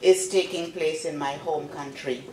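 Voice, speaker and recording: At a moderate pace, a woman talks amid audible room echo. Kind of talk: formal speech. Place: hall. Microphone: podium.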